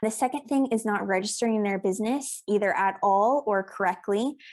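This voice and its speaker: On a very clean recording with a silent background, a woman with an American accent uses an ordinary speaking voice at a medium pitch, with fairly even intonation and a fairly quick pace. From South Africa. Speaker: accountant and business coach. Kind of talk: podcast interview.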